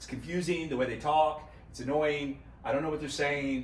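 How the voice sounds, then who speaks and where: Talking at a fairly quick pace, a man with a fairly high pitch is heard over noticeable background noise and audible room echo. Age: 50s. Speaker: golf YouTuber. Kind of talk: casual vlog-style golf tutorial. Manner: fast; animated.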